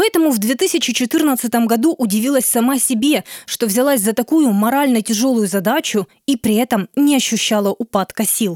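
Her high pitch and lively intonation come across at a moderate pace and very even loudness, and this woman's recording has a dry, close sound with no echo. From Luhansk, eastern Ukraine. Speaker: podcast host and narrator. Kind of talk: scripted narration.

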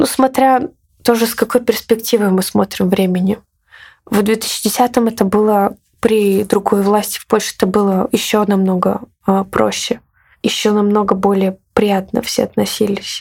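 A woman at a fairly slow pace and fairly high pitch, with long, frequent pauses, fairly even intonation, and big swings in loudness. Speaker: artist and activist. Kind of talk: interview.

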